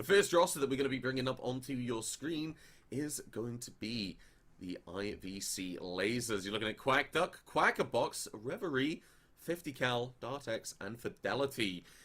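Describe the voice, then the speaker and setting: With an English accent, a man speaks at a moderate pace in a medium pitch with lively intonation. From England. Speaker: esports caster. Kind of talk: live commentary.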